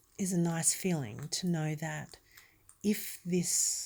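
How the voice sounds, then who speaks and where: A woman's calm, relaxed voice with an Australian accent, dark and mellow in tone, fairly low in pitch, with fairly even intonation. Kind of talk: ASMR talk.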